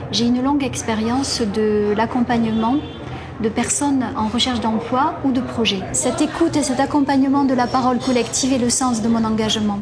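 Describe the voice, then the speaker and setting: Fairly even intonation comes through noticeable background noise and audible room echo. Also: woman, high pitch for a woman, moderate pace, very even loudness. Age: 50s. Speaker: substitute political candidate. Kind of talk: campaign statement.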